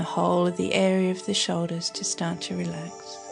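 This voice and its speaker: Music plays in the background as a woman with an Australian accent speaks at a fairly slow pace. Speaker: meditation guide. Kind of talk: guided meditation. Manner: soft-spoken, slow.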